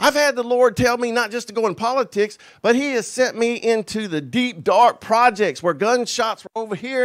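A moderate pace in a Southern US accent, with ordinary pitch variation and a quiet background. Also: man. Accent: Southern American. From United States. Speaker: pastor, preacher. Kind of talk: sermon, personal testimony. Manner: passionate, earnest, conversational. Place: church. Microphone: handheld.

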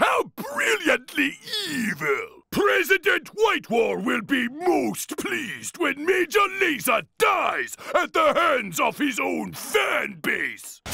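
Shouting in a cartoonish character voice, a man speaks at a very slow pace and an extremely high pitch. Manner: theatrical, gleeful, sycophantic.

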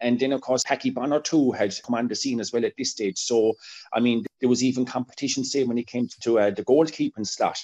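A man with an Irish accent speaks in a dark, mellow tone and fairly even intonation against a quiet background. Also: fairly quick pace. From Ireland. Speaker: football historian; podcast guest or co-host. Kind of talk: interview. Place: home room. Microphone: video call.

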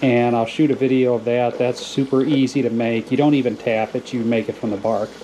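A man with an American accent, fairly quick and monotone, flat in intonation, with hardly any pauses over light background noise. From US South. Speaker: hobby farmer and channel host. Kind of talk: casual tutorial. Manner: hesitant, many filler words. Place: kitchen.

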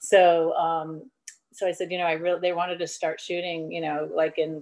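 The woman has a fairly low pitch and talks at a fairly quick pace. The background is quiet. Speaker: actress interview guest. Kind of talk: interview answer. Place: home room. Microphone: video call.

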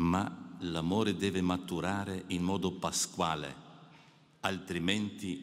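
Speaking at a very slow pace, a man uses fairly even intonation with a very deep, low pitch. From Alpine mountain region. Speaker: priest giving a retreat meditation. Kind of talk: spiritual meditation address. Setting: audience of clergy and the Pope. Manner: formal. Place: hall. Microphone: podium.

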